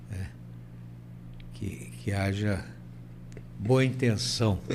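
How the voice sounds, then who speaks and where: Audible room echo surrounds a man with a fairly low voice and vocal fry. His pitch swings very widely, broken by long, frequent pauses. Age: 80s+. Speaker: university rector. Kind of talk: interview. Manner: halting, repeats words.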